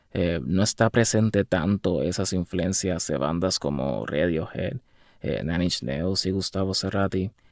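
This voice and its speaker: Vocal fry runs through this fairly slow delivery with ordinary pitch variation, recorded very cleanly against a silent background with a dry, close sound and no echo. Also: man, very deep, low pitch for a man. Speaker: musician. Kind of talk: casual video monologue. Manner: halting.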